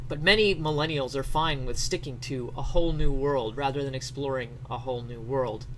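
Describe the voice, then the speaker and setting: Noticeable background noise sits behind a man speaking at a medium pitch with ordinary pitch variation. He talks at a fairly quick pace with hardly any pauses. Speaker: streamer. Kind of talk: comedic dramatic reading of an article.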